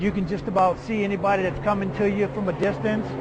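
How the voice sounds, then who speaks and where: A man with an American accent and a high pitch talks at a fairly quick pace over noticeable background noise. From New Orleans, Louisiana. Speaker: homeless man, hurricane evacuee. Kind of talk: documentary interview, personal testimony. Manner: casual, conversational.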